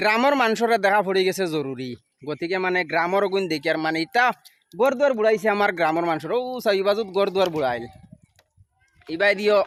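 The man's voice is high-pitched with lively intonation. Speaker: local video reporter. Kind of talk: on-the-spot video report.

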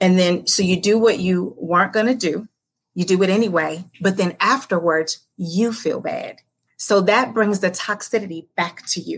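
A woman talks at a moderate pace in a somewhat breathy voice. Her intonation stays fairly even. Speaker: podcast guest, life coach. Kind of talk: interview answer. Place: home room. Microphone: video call.

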